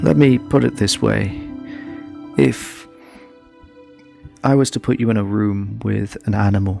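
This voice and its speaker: Over music in the background, a man talks at a fairly slow pace with long, frequent pauses. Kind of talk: spoken word poetry. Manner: reflective, questioning.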